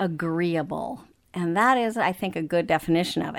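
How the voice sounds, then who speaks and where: A woman with an American accent talks at a moderate pace in a bright, sharp tone. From Africa, then Texas. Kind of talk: interview about marriage and counseling, casual conversation.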